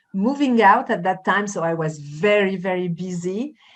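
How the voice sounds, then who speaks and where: A woman with a slight French accent talks at a fairly slow pace. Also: quiet background. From France. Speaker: life coach and journalist. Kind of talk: conversational interview. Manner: hesitant, many fillers.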